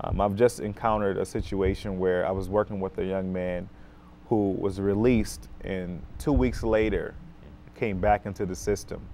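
Speaking at a moderate pace with an American accent, a man uses a fairly low pitch, a dark, mellow tone and ordinary pitch variation over light background noise. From Rochester, New York, US. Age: 30s. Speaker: school social worker. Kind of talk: talk show interview. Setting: TV studio. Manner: many fillers (um, uh). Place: studio.

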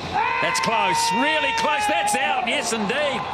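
Fairly slow speech in a warm, relaxed tone with ordinary pitch variation, over noticeable background noise. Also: man. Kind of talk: live commentary. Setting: cricket ground commentary. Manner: fluent, warm and appreciative, praising shots in a relaxed tone.

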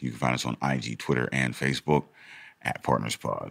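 A man's very deep, low voice with vocal fry, in a dry, close sound with no echo. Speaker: podcast co-host. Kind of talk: casual chat.

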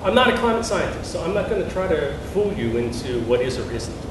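With audible room echo and noticeable background noise, a man speaks at a fairly quick pace. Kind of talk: lecture. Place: hall.

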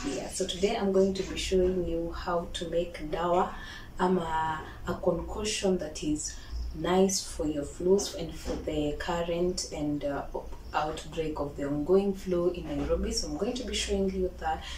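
Speech comes at a fairly slow pace with audible room echo and light background noise. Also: woman. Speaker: home cook vlogger. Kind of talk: casual cooking tutorial. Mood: cheerful, friendly. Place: kitchen. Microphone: camera far.

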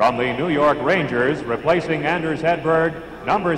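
Over noticeable background noise, a man talks with ordinary pitch variation. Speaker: arena announcer. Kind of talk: live arena PA announcing of player introductions, formal roll-call. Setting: arena PA system with crowd. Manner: formal, crisp, measured and ceremonial; projecting, announcer-style delivery with rising emphasis on each name. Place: stadium. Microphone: pa.

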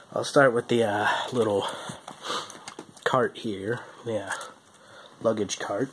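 Very slow speech from a man at medium pitch, with long, frequent pauses and noticeable background noise. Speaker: toy reviewer. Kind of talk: product review. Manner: hesitant with fillers.

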